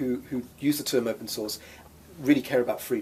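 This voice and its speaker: A somewhat breathy man's voice at medium pitch and a fairly quick pace. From England, Oxford. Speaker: free software nonprofit executive director. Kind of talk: interview.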